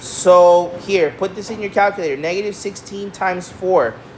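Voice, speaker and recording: A woman talks at a fairly slow pace. Noticeable background noise and audible room echo are present. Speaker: math teacher. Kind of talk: lecture.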